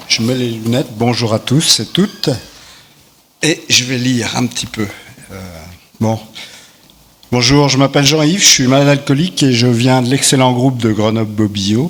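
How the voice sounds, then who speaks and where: At a moderate pace and medium pitch, a man talks with ordinary pitch variation and long, frequent pauses amid noticeable background noise. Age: 60s. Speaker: recovering alcoholic. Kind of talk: testimony read aloud.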